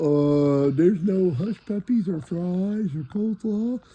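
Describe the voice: Doing a cartoonish character voice, a man speaks slowly at a high pitch with a dark, mellow tone, a slightly husky edge and ordinary pitch variation.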